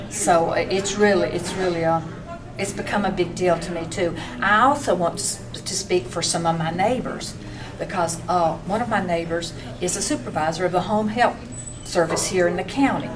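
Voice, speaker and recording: Fairly low female speech in an Appalachian accent, moderately paced with ordinary pitch variation, with music in the background and audible room echo. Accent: Appalachian Southern US. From western North Carolina. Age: 60s. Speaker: small business owner. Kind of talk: public testimony. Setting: public meeting. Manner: halting, with false starts.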